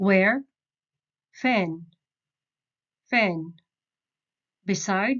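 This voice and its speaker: With ordinary pitch variation, a woman speaks at a medium pitch. Her pace is very slow. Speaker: Arabic dialect teacher. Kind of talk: beginner language lesson.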